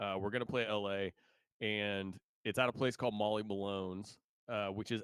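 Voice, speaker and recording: With a slight Midwestern accent, a man speaks at a fairly low pitch in a very clean, silent-background recording with a dry, close sound and no echo. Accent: slight Midwest twang. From Indiana. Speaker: musician. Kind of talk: interview. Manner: casual, animated.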